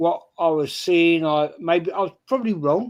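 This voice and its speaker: Using lively intonation, a man with a high pitch speaks at a fairly slow pace. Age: 60s. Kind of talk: casual chat. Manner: halting.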